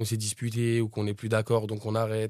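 A man with a dark, mellow tone and medium pitch speaks at a very fast pace. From France, Pantin, Seine-Saint-Denis (93). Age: 20s. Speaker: rapper. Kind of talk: interview. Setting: studio.

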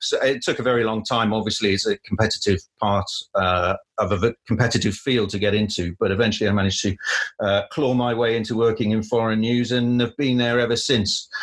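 A man with a Cardiff accent speaks at a medium pitch and a fairly quick pace. His intonation is fairly even and his loudness very even, on a very clean recording with a silent background. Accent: Welsh (Cardiff). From Wales, Cardiff. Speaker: news producer. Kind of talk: interview.

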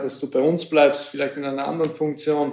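The tone is dark and mellow, delivered in a flat monotone. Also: man. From Hungary, Sopron. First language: Hungarian (speaking German). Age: 20s. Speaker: former footballer, youth team manager. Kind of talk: interview. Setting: training centre office.

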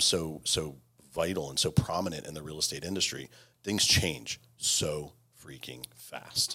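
The voice has a bright, sharp tone with ordinary pitch variation. It is a very clean recording with a silent background. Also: man. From Virginia. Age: 30s. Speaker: real estate executive. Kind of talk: casual interview.

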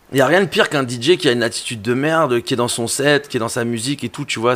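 A man talks at a very fast pace. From Belgium, Brussels. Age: 30s. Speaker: music journalist and DJ. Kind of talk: casual chat. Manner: animated.

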